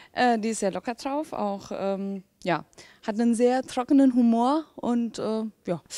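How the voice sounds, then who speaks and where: Against a quiet background with a dry sound and no echo, a woman speaks fairly slowly at a fairly high pitch in a dark, mellow tone with ordinary pitch variation. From Saarland, Germany. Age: young. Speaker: politician. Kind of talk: interview. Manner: hesitant with many fillers. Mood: friendly, relaxed. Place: hall. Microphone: handheld.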